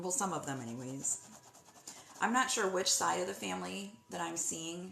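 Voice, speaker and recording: A woman's voice with room echo and clear background noise. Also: moderate pace. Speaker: psychic medium. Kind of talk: live-stream medium reading. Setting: live stream.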